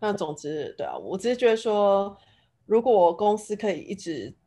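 A woman with a Taiwanese accent is heard on a very clean recording with a silent background. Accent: Taiwanese Mandarin. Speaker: finance professional in tech. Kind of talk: casual chat.

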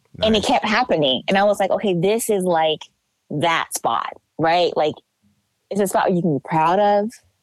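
A woman with an American accent and an unremarkable speaking voice, medium in pitch with ordinary variation, at a moderate pace. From Los Angeles, US. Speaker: writer and photographer. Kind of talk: casual chat.

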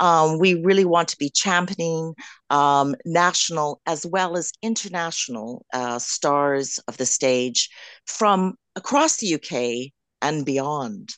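A woman with a Canadian accent and a very deep, low pitch speaks very slowly with lively intonation, the sound dry and close with no echo against a quiet background. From Canada. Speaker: drag king performer. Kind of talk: radio interview.

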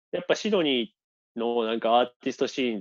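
A man talks at a very fast pace in a medium pitch. The sound is dry and close, with no echo. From Japan, Toyama. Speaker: illustrator and painter. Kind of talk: casual interview chat. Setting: video call.

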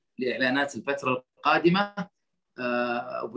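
This man has a normal speaking voice with a fairly high pitch and ordinary pitch variation. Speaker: interviewer, moderator. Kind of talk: interview moderation. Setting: online audio/video call.

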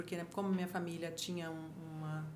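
Audible room echo surrounds a woman whose voice is somewhat breathy. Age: 50s. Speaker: photographer and journalist. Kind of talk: casual chat.

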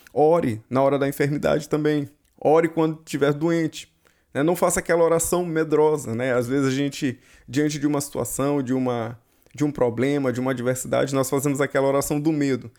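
A man with a Brazilian accent speaks at a fairly quick pace and a fairly high pitch. His intonation is fairly even, on a very clean recording with a silent background. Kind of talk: fervent prayer to God in the second person, spoken aloud. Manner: conversational, didactic.

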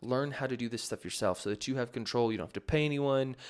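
A man's medium-pitched voice at a very fast pace with fairly even intonation, in a very clean recording with a silent background. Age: 20s. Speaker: podcast host and music producer teaching beat making. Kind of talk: casual solo podcast talk answering listener questions. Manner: casual, with frequent fillers.

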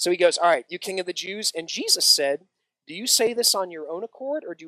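Over a quiet background, the voice is plain reading aloud with lively intonation.

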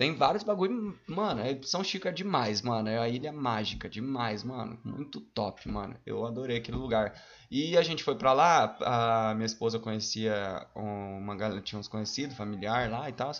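An ordinary speaking voice from a man, medium in pitch, at a moderate pace with lively intonation and hardly any pauses. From Paraná, Brazil (Mandaguaçu area). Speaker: cook and rapper. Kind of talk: casual chat.

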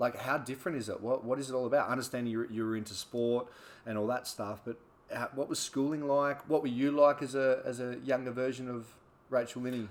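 Fairly quick, monotone and flat, from a man with an Australian accent at medium pitch. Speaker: podcast host and personal trainer. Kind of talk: casual interview chat.

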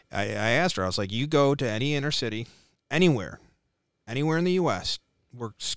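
A man talks at a fairly quick pace. The recording is very clean and the background silent. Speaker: political candidate, military veteran. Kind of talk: casual chat.

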